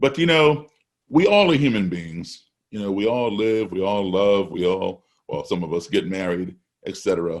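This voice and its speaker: With an unremarkable speaking voice and lively intonation, a man talks at a moderate pace and a fairly low pitch. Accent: American. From US, raised abroad as Foreign Service child. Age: 60s. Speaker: jazz musician. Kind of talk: fireside chat interview. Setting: video call.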